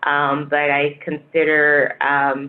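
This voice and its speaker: A woman with a West African accent speaks at a very deep, low pitch. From Niger, West Africa. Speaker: public health director. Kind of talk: panel interview.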